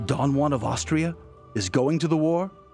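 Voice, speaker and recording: Over music in the background, a man with a fairly high pitch speaks in a dramatic tone. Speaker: radio host. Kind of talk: dramatic poetry reading.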